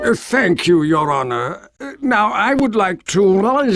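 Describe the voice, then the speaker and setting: In a put-on character voice, a man talks at a fairly slow pace with a high pitch. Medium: video game. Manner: hesitant, filled with "uh".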